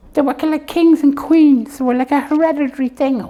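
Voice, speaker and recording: A cartoonish character voice, high-pitched, at a fairly quick pace. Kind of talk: comedy puppet show.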